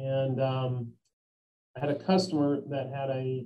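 In a Tennessee accent, a man talks at a medium pitch with fairly even intonation. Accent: Southern US (Tennessee). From US South (Memphis, Tennessee). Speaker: construction company executive. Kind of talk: interview. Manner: halting.

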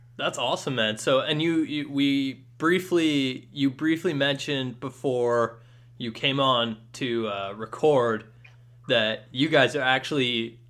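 This is an unremarkable speaking voice, a man's, with ordinary pitch variation. He talks at a fairly slow pace. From western Canada (Ladner, BC). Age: 20s. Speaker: student sports podcast host. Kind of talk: casual interview chat.

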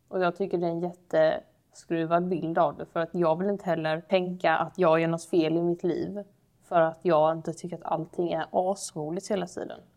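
At a moderate pace and with hardly any pauses, a woman speaks in a fairly low pitch with monotone, flat intonation. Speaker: podcast co-host. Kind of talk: casual chat.

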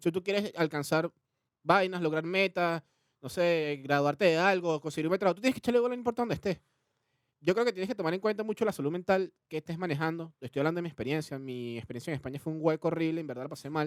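Very fast speech with a dry, close sound and no echo. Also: man, high pitch for a man, ordinary pitch variation. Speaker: podcast co-host. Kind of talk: casual chat.

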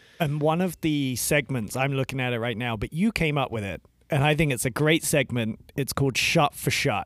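The speaker, in an English accent, keeps a moderate pace with hardly any pauses and ordinary pitch variation, in a dry, close sound with no echo. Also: man, fairly high pitch for a man. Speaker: podcast co-host. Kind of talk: casual chat.

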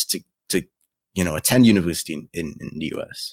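A man speaks at a very fast pace. His voice is very deep and low, with ordinary pitch variation. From Trinidad and Tobago. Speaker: YouTube content creator. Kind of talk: casual interview chat.

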